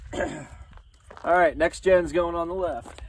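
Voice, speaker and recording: A man's voice, dry with no echo, amid noticeable background noise. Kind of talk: casual tutorial vlog. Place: open country. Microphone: camera far.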